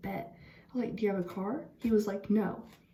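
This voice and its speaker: A woman's voice at a moderate pace, with audible room echo and noticeable background noise. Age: 20s. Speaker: vlogger. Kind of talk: storytime monologue. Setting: bathroom at night. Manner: casual, animated.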